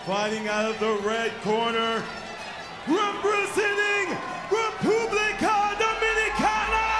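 A man talks very slowly while clear music plays behind him. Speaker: ring announcer. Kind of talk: combat sports ring announcing. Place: stage. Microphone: handheld.

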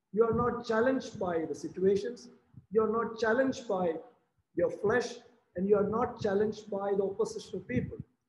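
A man's high-pitched voice amid audible room echo and light background noise. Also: fairly even intonation. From Kerala, India. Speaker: preacher. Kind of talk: sermon. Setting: video call. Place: home room. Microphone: webcam.

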